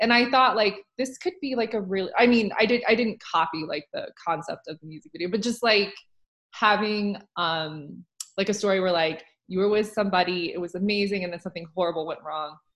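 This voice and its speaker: A woman's ordinary speaking voice at a medium pitch, with ordinary pitch variation and a fairly quick pace. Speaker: podcast host and author. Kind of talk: casual chat.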